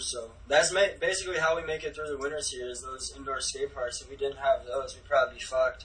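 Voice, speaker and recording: A man speaks in an American accent over noticeable background noise. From Minnesota. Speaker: professional skateboarder. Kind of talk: casual chat.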